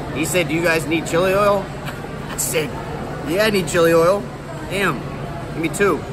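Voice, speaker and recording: A man's voice against crowd noise in the background. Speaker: food vlogger. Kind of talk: casual vlog chat. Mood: playful, relaxed. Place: hall. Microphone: phone near.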